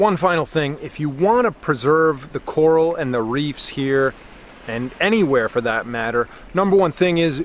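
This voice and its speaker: Dry with no echo and with light background noise behind him, a man speaks at a fairly slow pace with lively intonation. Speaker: travel vlogger. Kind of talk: casual vlog chat. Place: beach. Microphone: phone near.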